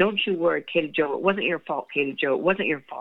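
A raspy, put-on character voice at a middle pitch rattles along at a fairly quick pace. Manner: reassuring.

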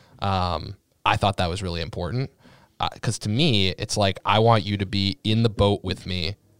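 On a very clean recording with a silent background and a dry, close sound with no echo, a man speaks at a moderate pace and fairly low pitch, with ordinary pitch variation and a normal speaking voice. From Massachusetts (Sharon, near Boston). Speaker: startup founder in investment platform. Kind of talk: casual interview. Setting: podcast studio.

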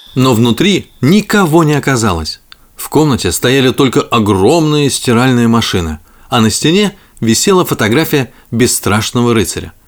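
A man speaks at medium pitch and a moderate pace, his pitch swinging widely.

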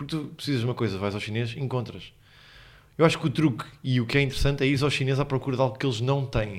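Speaking at a very fast pace, the man has a medium pitch and ordinary pitch variation. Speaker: podcast co-host, comedian. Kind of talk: casual chat. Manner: animated.

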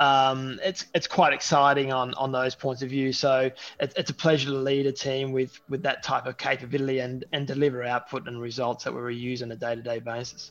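Talking at a fairly quick pace, a man with an Australian accent holds a medium pitch in a monotone, flat intonation. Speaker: technology executive. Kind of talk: interview. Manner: halting, many fillers.

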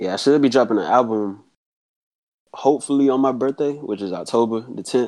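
Speaking with an American accent, a man uses an unremarkable speaking voice at medium pitch, with ordinary pitch variation and a fairly quick pace. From South Carolina. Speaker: rapper. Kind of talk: casual interview.

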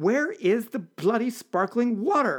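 In a put-on character voice, the speaker growls and projects loudly at a fairly slow pace with lively intonation. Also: man. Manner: snarling, sarcastic.

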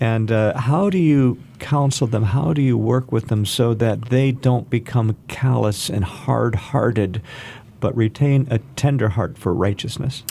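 A man talks at a fairly slow pace, medium in pitch with ordinary pitch variation. His tone is dark and mellow, somewhat breathy, and his loudness stays very even. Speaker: radio host. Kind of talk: radio interview. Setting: studio.

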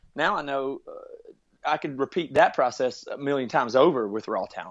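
A man with an American accent speaks at a fairly quick pace in a plain, everyday voice, his pitch fairly high. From US South, rural South Carolina. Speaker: musician and podcast producer. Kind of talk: interview.

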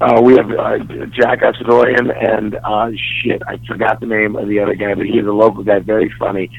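A man talks with hardly any pauses while noticeable background noise sits behind him. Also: moderate pace. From Dallas, Texas. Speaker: stand-up comedian.

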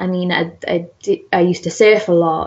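Intonation stays fairly even for this woman. She has a Geordie accent and a fairly low pitch. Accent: northern English, Geordie. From northern England. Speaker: zoologist and conservation researcher. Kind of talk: casual interview.

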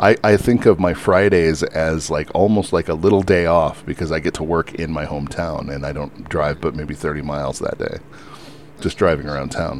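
Background noise is clearly audible. The words come at a moderate pace. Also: man, very deep, low pitch for a man, ordinary pitch variation. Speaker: podcast host. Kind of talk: casual chat. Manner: casual, chatty.

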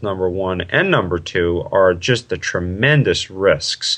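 At a fairly slow pace, a man with a plain, everyday voice speaks at a fairly low pitch. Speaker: triathlon coach. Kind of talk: interview explanation.

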